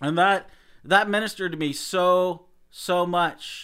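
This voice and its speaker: A man projects a raised voice with a high pitch and a bright, sharp tone. The recording is very clean against a silent background. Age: 40s. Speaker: podcast host. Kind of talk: solo podcast monologue. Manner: halting, frequent repetitions and fillers.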